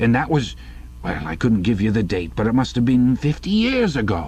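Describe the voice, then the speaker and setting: Using a put-on character voice, a man rumbles at a medium pitch and a moderate pace. Clear background noise sits behind him. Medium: read story. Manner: grumbling, rambling.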